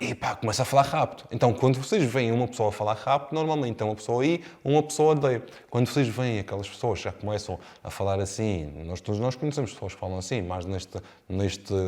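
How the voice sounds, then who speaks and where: Lively intonation marks this man's medium-pitched voice, in a European Portuguese accent. He talks at a very fast pace. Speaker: real estate sales trainer. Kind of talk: lecture. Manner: swallows words.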